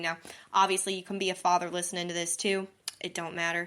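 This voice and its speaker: A woman's medium-pitched voice with a slight Southern US accent, fairly quick and monotone in flat intonation, on a very clean recording against a silent background. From Missouri. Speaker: podcast host. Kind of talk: casual monologue. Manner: chatty, lots of fillers.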